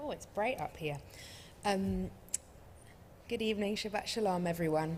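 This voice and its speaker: This speaker has an English accent and a moderate pace. Room echo is audible. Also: woman, medium pitch for a woman. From England. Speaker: refugee advocacy director. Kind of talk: talk to congregation.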